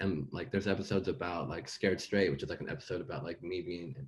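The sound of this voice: A man speaks fast with a low pitch and a slightly husky edge. His pitch variation is ordinary.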